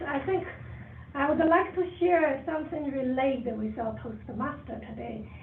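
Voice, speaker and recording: A woman's quiet, high-pitched voice in a strong Chinese accent at a fairly slow pace, with ordinary pitch variation, audible room echo and noticeable background noise. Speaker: toastmasters club member. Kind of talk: impromptu speech.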